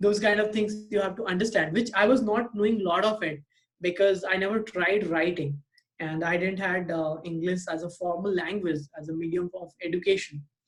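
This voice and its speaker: Speaking with an Indian accent, a man uses a high pitch, a moderate pace and fairly even intonation. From India, Bihar. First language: Hindi or Maithili. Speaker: podcast guest. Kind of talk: casual chat. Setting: video call. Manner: hesitant, many fillers.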